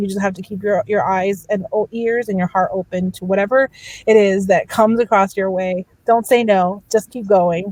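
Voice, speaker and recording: A woman with a slight Spanish accent at a medium pitch, a moderate pace and fairly even intonation, in a dry, close sound with no echo. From Miami, Florida. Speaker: entertainment producer. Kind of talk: panel discussion. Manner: trips on words.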